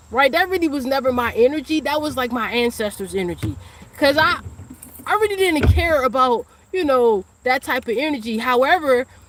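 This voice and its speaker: The voice moves at a fairly quick pace with lively intonation over noticeable background noise. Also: woman, high pitch for a woman. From Washington, D.C. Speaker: spiritual teacher and psychic reader. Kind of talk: livestream monologue. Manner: fast; casual.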